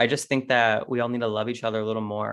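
A man talks against a quiet background. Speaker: podcast guest, musician. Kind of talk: casual chat. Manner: intense, self-assured.

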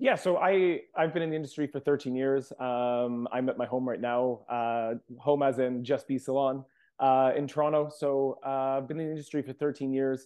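A man's medium-pitched voice, fairly even in intonation, at a moderate pace. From England (Leeds), moved to Ontario at 10. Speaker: hairstylist and entrepreneur. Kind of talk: interview. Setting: remote from home.

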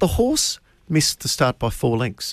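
A man talks at a fairly quick pace with an Australian accent. The sound is dry and close, with no echo. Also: very clean recording, silent background. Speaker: racing radio host. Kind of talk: radio panel discussion about horse racing.

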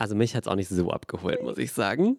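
Vocal fry runs through very fast speech. The sound is dry and close with no echo, on a very clean recording with a silent background. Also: man. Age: 20s. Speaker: podcast co-host. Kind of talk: casual chat.

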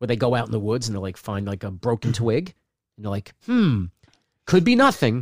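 At a fairly quick pace, a man speaks at a medium pitch in a normal speaking voice, the sound dry and close with no echo. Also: ordinary pitch variation. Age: 50s. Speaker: stand-up comedian. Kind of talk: casual chat. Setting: home studio, live-streamed.

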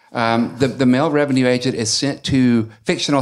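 A man with an Alabama accent speaks at a moderate pace in a medium pitch, his intonation fairly even. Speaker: novelist and university teacher. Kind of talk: casual chat. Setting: bookstore event with audience.

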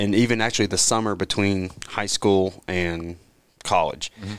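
This man has a plain, everyday voice with fairly low pitch. He keeps a fairly quick pace and fairly even intonation. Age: 20s. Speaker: amateur golfer, league member. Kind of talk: casual chat.

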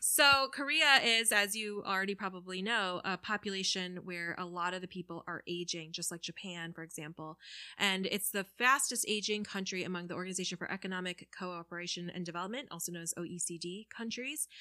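A woman with a medium pitch and a bright, sharp tone speaks at a fairly quick pace with hardly any pauses and ordinary pitch variation. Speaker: podcaster. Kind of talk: casual chat. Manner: animated.

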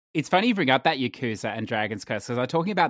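The voice belongs to a man. The sound is dry and close, without any echo. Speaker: gamer podcast panelist. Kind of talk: casual chat. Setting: remote call.

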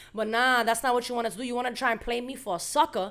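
Delivered at a fast pace, the bright, sharp voice sits on a very clean recording with a silent background. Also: woman.

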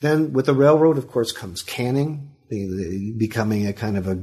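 Noticeable background noise sits behind the speaker. He is a man at a medium pitch with an American accent. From Sacramento, California. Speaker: history professor and author. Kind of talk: interview.

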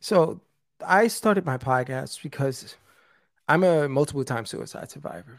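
A man with a New York accent in a very clean recording, silent background. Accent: New York (Bronx). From US, South Bronx, New York City. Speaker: suicide prevention speaker and podcast host. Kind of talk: interview, personal testimony.

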